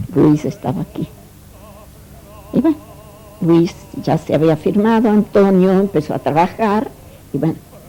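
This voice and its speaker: Over music in the background, the voice moves at a fairly slow pace with lively intonation and long, frequent pauses. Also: woman, medium pitch for a woman. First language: Italian (speaking Spanish). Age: 70s. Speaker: immigrant interviewee, Italian teacher. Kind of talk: interview, life story.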